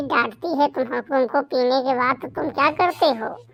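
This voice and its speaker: A woman performs a cartoonish character voice. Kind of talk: rustic cartoon comedy. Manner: folksy, bantering.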